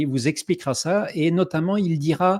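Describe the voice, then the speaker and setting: Pitch varies in an ordinary way as the talking proceeds fairly slowly. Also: man. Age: 60s. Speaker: online summit host. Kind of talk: online event introduction. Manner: hesitant, many filler sounds.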